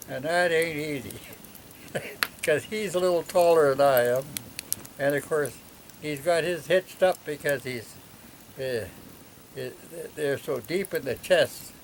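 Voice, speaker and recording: A man speaks slowly-ish with a fairly high pitch, leaving long, frequent pauses. Noticeable background noise runs under his voice. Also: ordinary pitch variation. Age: 80s+. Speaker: hunter. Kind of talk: storytelling interview answer. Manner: casual, rambling.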